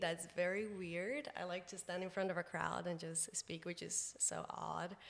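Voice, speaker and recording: A woman with a Portuguese accent, at a fairly slow pace. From Brazil. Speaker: communications professional and podcaster. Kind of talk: casual chat. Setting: podcast recording.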